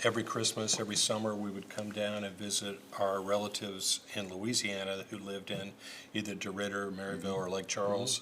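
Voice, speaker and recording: A man with an American accent at a fairly quick pace, flat monotone intonation, noticeable background noise behind him. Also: fairly low pitch for a man. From Indiana, Bloomington. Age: 50s. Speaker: lawyer. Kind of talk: casual interview chat.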